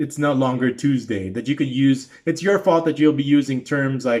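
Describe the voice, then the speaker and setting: Talking at a fairly quick pace, a man with a Filipino accent keeps a medium pitch and fairly even intonation. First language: Tagalog. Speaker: YouTube reaction commentator. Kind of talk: casual reaction commentary monologue. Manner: halting, many fillers and restarts.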